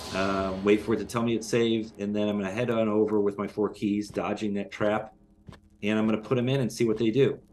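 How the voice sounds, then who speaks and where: Over music in the background, a man talks at a very fast pace with a fairly low pitch. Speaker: game developer. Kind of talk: gameplay walkthrough. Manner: halting, many fillers.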